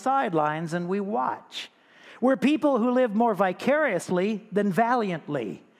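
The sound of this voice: Lively intonation marks this voice. It is an unforced reading voice.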